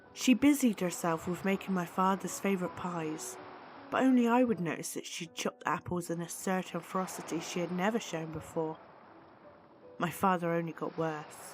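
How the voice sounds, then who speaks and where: Music plays in the background as a woman speaks. Her pitch is fairly low, varying in an ordinary way, at a moderate pace. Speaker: story narrator. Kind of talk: horror story narration.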